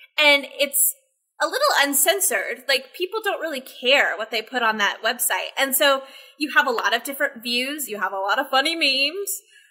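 Against a quiet background, a woman with an American accent projects a raised, high-pitched voice at a fairly quick pace with lively intonation. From Texas. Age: 20s. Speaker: social media manager; podcast guest. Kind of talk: casual chat. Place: home room.

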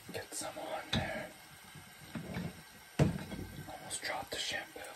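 A man whispering in a calm tone at a very slow pace. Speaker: ASMR content creator. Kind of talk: ASMR roleplay hair wash narration to camera. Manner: soft, slow, calm. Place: home room. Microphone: phone near.

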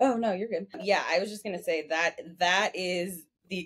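An unremarkable speaking voice from a woman, fairly slow in pace with ordinary pitch variation. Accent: American. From United States. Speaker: podcast co-host. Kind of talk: casual chat. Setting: video call.

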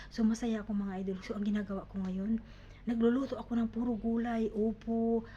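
A woman with a fairly high voice speaks fairly quickly. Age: 50s. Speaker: vlogger. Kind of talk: casual vlog talk. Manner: halting.

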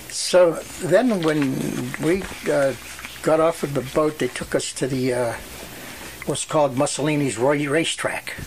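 A man with a Western Pennsylvania accent and a fairly high pitch, ordinary pitch variation, long, frequent pauses and noticeable background noise. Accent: Western Pennsylvania American. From Western Pennsylvania, USA. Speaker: World War II veteran. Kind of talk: oral history interview answer.

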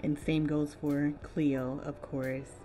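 Over music in the background, a woman speaks in a very deep, low pitch with monotone, flat intonation. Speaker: digital artist. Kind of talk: casual draw-and-chat voice-over. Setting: home room with heater noise.

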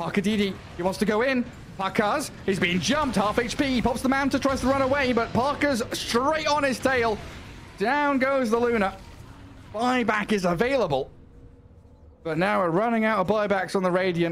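A man speaks in an animated tone, high-pitched for a man, at very even loudness. Noticeable background noise is audible. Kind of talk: esports play-by-play commentary. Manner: fast, animated, excitable play-by-play delivery.

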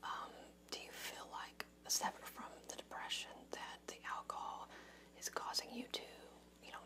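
A woman whispers in a gentle tone at a moderate pace. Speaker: interviewer asking about drinking. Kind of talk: clinical interview questions. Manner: soft-spoken, gentle ASMR counselor voice. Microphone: webcam.

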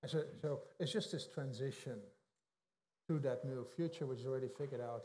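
Speaking very fast in a Dutch accent, a man with a dark, mellow, somewhat breathy tone keeps his intonation fairly even over light background noise. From Netherlands. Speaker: economist. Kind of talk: interview. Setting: stage with audience. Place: hall.

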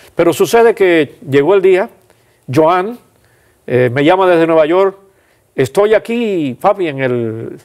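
A man at a high pitch and a very slow pace, long, frequent pauses, quiet background. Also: lively intonation. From Cuba, Pinar del Río; Cuba. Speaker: pastor and church administrator; pastor. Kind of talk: interview testimony. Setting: studio. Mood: calm, reflective. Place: studio. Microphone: lapel.

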